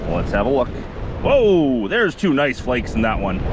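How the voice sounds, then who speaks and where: A man with a Canadian accent at a moderate pace, very wide pitch swings, audible room echo and noticeable background noise. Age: 50s. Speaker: gold prospector, video host. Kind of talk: casual vlog narration. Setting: outdoors at a river. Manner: chatty, talkative.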